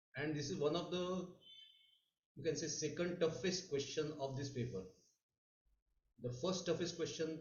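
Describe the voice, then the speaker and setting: With audible room echo, a man speaks at a fairly high pitch with ordinary pitch variation. His pace is moderate, broken by long, frequent pauses. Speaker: mathematics teacher. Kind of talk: online lecture. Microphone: too quiet at first, then adjusted.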